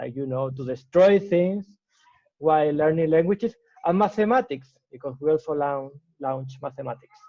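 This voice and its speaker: A man with a Spanish accent speaks at a moderate pace in a fairly high pitch. His intonation is lively, and his loudness swings widely. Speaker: startup founder. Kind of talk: interview. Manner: halting.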